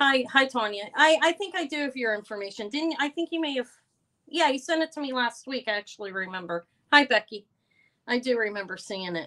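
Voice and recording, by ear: Loud and at a fairly quick pace, a woman talks with a bright, sharp tone, lively intonation and a fairly high pitch.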